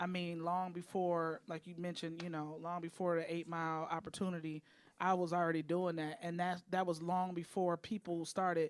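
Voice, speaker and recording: This woman's fairly low voice stays monotone, with flat intonation throughout. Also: moderate pace. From Detroit, US Midwest. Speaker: rapper. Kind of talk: interview.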